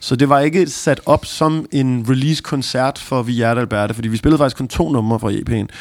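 A man speaks at a moderate pace with hardly any pauses, using a medium pitch and ordinary pitch variation. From Copenhagen area, Denmark. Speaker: rapper. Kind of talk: interview. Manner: halting.

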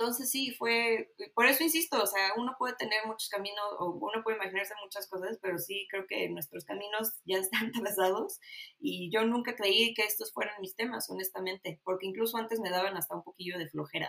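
Delivery comes at a fairly quick pace with ordinary pitch variation. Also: woman, medium pitch for a woman. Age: 30s. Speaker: political science graduate. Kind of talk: casual interview.

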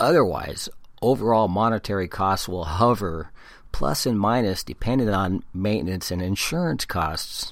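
A man's fairly low voice with an American accent, lively intonation and moderate pace, on a very clean recording with a silent background. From California, San Diego. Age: 50s. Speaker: podcaster and blogger. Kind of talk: solo podcast commentary, partly reading articles aloud.

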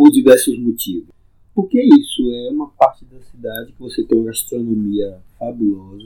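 A man's loudness swings widely as he speaks at a moderate pace. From Salvador, Bahia, Brazil (Subúrbio Ferroviário). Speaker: community historian and local resident. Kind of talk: conversational interview, reminiscing. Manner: animated.

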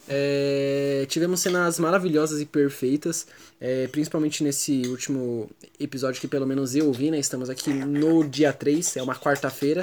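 With fairly even intonation and a fairly high pitch, the man keeps a moderate pace. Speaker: podcast co-host. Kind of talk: casual chat.

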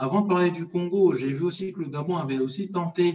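A man speaks with a high-pitched voice. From France (Paris), Congolese heritage. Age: 30s. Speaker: history page creator, financial controller. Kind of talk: casual interview.

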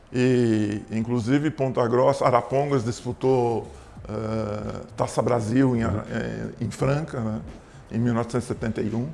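Speaking very slowly, a man with a medium pitch and a dark, mellow tone keeps his intonation fairly even. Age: 70s. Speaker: basketball coach. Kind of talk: interview.

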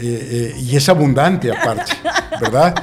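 Over music in the background, a man talks in a fairly high pitch with ordinary pitch variation. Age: 60s. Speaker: business consultant. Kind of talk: interview.

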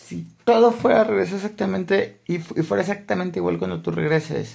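This is a man speaking with a Mexican accent. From Mexico, Aguascalientes. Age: 20s. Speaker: podcaster. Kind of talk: casual monologue. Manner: halting, many repetitions.

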